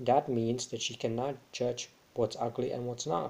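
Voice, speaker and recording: This man has a non-native accent and a dark, mellow tone. He speaks at a medium pitch and a fairly slow pace. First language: not English. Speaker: vlogger. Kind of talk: casual vlog monologue. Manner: halting, many fillers.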